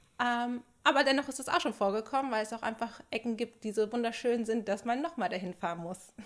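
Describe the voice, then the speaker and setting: A woman talks at a fairly quick pace in an unremarkable speaking voice. Her pitch sits fairly high, with ordinary variation. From Germany, Sauerland. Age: 30s. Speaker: podcast co-host, film producer. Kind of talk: casual chat. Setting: studio, seated together.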